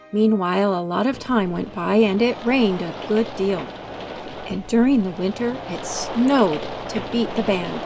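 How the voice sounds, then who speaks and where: Noticeable background noise under a woman talking at a moderate tempo, her pitch medium and ordinary in its variation. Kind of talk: children's story read-aloud.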